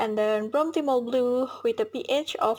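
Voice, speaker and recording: High-pitched woman's voice with an Indonesian accent and ordinary pitch variation, in a very clean recording with a silent background. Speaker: university student. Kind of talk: class presentation video.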